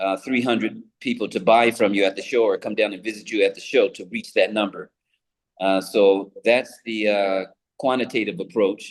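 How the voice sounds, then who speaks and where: A man speaks in a normal speaking voice with an American accent at a medium pitch. His pace is moderate and his intonation fairly even. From US Pacific Northwest, Seattle. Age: 60s. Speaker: international trade entrepreneur. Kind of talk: interview.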